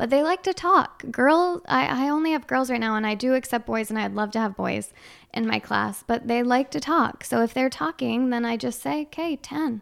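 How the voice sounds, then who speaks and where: With a northern US accent, a woman speaks at a moderate pace in a high voice with lively intonation. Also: very clean recording, silent background. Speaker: Irish dance teacher and studio owner. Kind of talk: casual interview chat. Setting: studio. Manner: soft-spoken.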